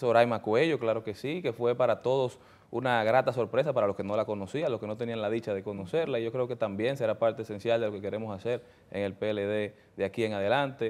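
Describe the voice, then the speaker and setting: Words come from this man at a very fast pace. His voice has a medium pitch and ordinary pitch variation. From Dominican Republic, Santo Domingo; Dominican Republic. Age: 30s. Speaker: politician, newly elected congressman; politician guest. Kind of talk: interview. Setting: studio. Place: studio. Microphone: lapel.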